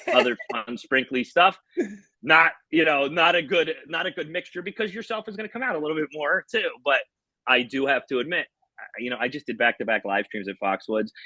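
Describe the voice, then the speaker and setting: A loud man with an American accent talks fairly quickly in a fairly high voice with a bright, sharp tone. His pitch swings very widely, and the sound is dry and close with no echo. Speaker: slot machine YouTuber. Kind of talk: casual interview. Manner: animated.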